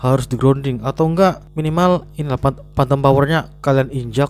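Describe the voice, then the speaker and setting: A man talks with ordinary pitch variation and fairly high pitch. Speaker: tech reviewer. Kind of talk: product review. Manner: casual, filler-heavy.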